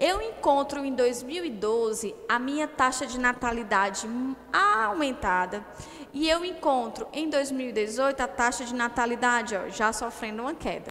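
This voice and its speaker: A woman's high voice with ordinary pitch variation, at a fairly slow pace, over light background noise. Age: 30s. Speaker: geography teacher. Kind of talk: online lecture. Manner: animated. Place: classroom. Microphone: headset.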